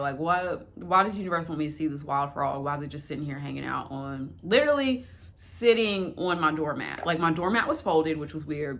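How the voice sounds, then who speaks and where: A woman talks at a fairly quick pace in a very deep, low pitch, with hardly any pauses and ordinary pitch variation. Room echo is audible. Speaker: spirituality vlogger. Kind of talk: casual vlog.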